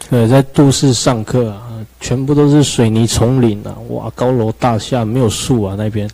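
A man speaks at a moderate pace with a medium pitch and fairly even intonation. There is noticeable background noise. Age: young. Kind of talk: interview conversation. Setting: radio studio with video stream. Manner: quiet.

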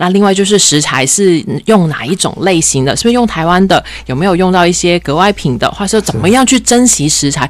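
A woman speaks at a fairly quick pace in a cheerful tone. There is noticeable background noise behind her. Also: medium pitch for a woman, lively intonation. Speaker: environmental foundation specialist. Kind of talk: radio interview.

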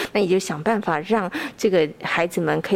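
A woman with a Taiwanese accent talks at a moderate pace over noticeable background noise, her fairly low pitch showing ordinary variation. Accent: Taiwanese Mandarin. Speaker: radio host. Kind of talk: radio interview. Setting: studio.

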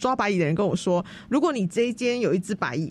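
With a somewhat breathy voice, a woman swings her pitch very widely. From Taiwan, Tainan. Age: young. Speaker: heritage house restoration organizer. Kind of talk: radio interview.

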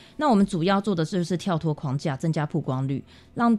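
A dark, mellow tone with ordinary pitch variation comes through on a very clean recording with a silent background. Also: woman. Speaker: makeup artist and association founder. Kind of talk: radio interview.

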